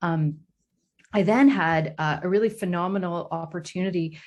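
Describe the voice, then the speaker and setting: A woman speaks in a fairly low, somewhat breathy voice. The background is quiet. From northern Ontario, Canada (Sault Ste. Marie). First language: French. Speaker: professor. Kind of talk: interview. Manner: hesitant, many fillers.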